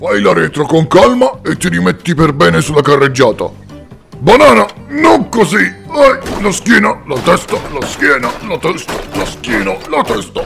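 A put-on character voice delivers its lines at a moderate pace over clearly audible background music. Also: man, fairly high pitch for a man. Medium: audio drama.

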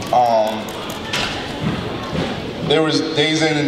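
A man is speaking. Background noise is noticeable. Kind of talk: emotional ceremony speech. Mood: heartfelt, emotional. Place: hall. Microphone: handheld.

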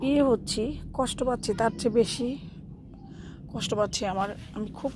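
A woman's tone is dark and mellow, somewhat breathy. Her intonation stays fairly even. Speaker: gardening vlogger. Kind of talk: casual vlog narration. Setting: outdoors in garden.

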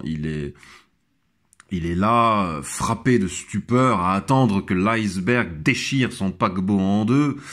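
A man's fairly low-pitched voice at a very slow pace, ordinary pitch variation, very clean recording and silent background. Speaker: podcaster. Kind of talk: monologue commentary. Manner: hesitant, stammering.

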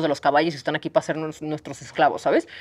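A woman talks with a fairly low pitch. The background is quiet. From Mexico. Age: 30s. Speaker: horse sanctuary founder. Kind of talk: casual interview. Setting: on location at horse sanctuary. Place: farm machine. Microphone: lapel.

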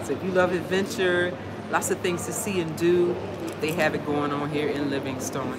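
The speech comes at a moderate pace against clear background noise. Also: woman.

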